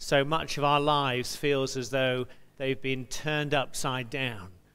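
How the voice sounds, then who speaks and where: Speaking at a fairly slow pace, a man has a bright, sharp tone. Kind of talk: service welcome and announcements. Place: church.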